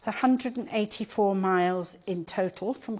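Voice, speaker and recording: A woman with an English accent, moderate in pace, with ordinary pitch variation. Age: 70s. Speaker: patient advocate. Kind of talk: lecture. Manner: animated.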